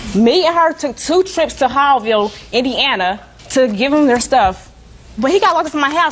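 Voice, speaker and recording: Against noticeable background noise, a woman talks at a fairly quick pace in a high-pitched, animated tone with lively intonation. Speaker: litigant on court show. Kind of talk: courtroom testimony. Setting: TV courtroom. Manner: fast.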